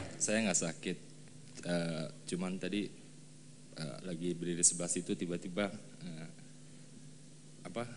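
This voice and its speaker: Long, frequent pauses mark this fairly slow delivery. The intonation is fairly even. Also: man. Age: 30s. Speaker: congregant giving testimony. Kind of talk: testimony interview. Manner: halting.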